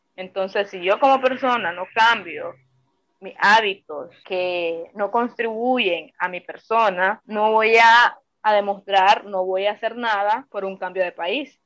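A woman talks at a very slow pace. Her loudness swings a great deal. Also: medium pitch for a woman, ordinary pitch variation. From Nicaragua, Granada. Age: 20s. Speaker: exiled activist. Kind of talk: testimony.

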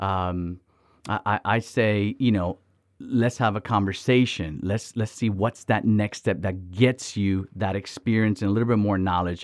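This man has a normal speaking voice, fairly low in pitch, with fairly even intonation. He talks at a fairly slow pace on a very clean recording with a silent background. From Miami, Florida, Dominican family. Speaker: missions organization director. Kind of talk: interview conversation.

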